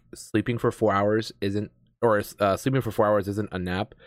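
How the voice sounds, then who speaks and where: At a moderate pace, a man with a normal speaking voice and fairly low pitch is heard in a dry, close sound with no echo. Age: 30s. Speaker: podcast host and streamer. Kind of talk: casual chat. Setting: remote call.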